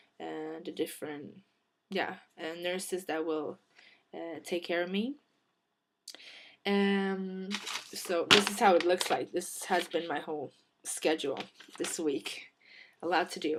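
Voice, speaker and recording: A woman speaks at a fairly slow pace in a fairly low pitch, her intonation fairly even. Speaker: vlogger. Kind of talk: personal vlog. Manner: halting, many fillers.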